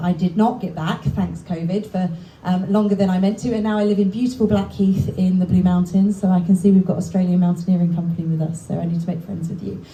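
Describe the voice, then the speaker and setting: Over noticeable background noise, someone with an English accent talks very fast with hardly any pauses and fairly even intonation. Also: woman. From England. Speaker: book contributor, hiker. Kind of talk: speech to audience. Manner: loud.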